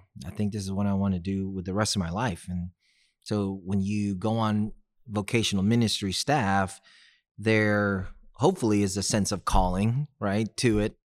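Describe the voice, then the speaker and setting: Speaking at a moderate pace with fairly even intonation, a man with an American accent has a fairly low pitch on a very clean recording with a silent background. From Texas, Houston. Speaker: real estate agent, former sports chaplain. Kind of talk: podcast interview.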